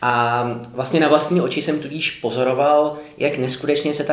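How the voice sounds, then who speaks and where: Amid noticeable background noise and audible room echo, a man talks at a fairly slow pace with fairly even intonation. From Czechia, Karlovy Vary. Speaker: urban geographer. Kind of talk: interview.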